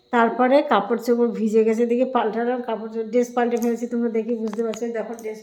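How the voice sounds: A woman speaks at a fast pace with a fairly high pitch and little pitch movement. Her tone is dark and mellow, with audible room echo.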